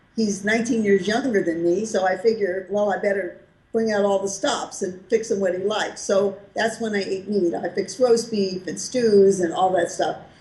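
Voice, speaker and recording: A woman's medium-pitched, dark, mellow voice with an American accent, somewhat breathy, at a moderate pace with hardly any pauses and fairly even intonation. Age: 70s. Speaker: raw vegan food author and health advocate. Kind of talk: interview answer.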